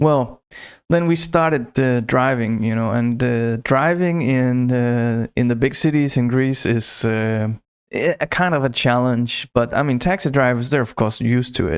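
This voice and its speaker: A man with a Northern European accent speaks at a fairly slow pace and a medium pitch. His pitch variation is ordinary and his loudness very even. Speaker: podcaster. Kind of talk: casual storytelling monologue. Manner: hesitant, many fillers and restarts.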